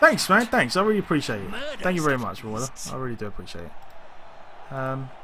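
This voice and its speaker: Over noticeable background noise, a man talks at a very fast pace with very wide pitch swings. His loudness swings widely, and his pauses are long and frequent. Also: medium pitch for a man. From East London. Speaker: video game streamer. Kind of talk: live gameplay commentary. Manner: casual, hesitant with fillers.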